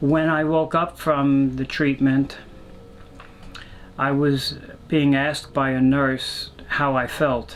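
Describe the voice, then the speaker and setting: A man talks at a fairly high pitch in a flat monotone, very slowly, with long, frequent pauses. Noticeable background noise runs underneath. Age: 70s. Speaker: Vietnam war veteran. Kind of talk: personal testimony. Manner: halting, many fillers.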